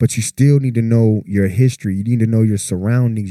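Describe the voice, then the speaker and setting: A man's plain, everyday voice, medium in pitch, with fairly even intonation. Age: 40s. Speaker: podcast co-host. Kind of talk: casual chat.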